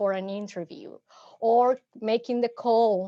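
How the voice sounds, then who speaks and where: A woman with a Mexican accent speaks at a very slow pace. Her pitch is fairly high, and the background is quiet. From Mexico City. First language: Spanish. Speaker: psychotherapist. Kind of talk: workshop presentation. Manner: halting, frequent repetitions.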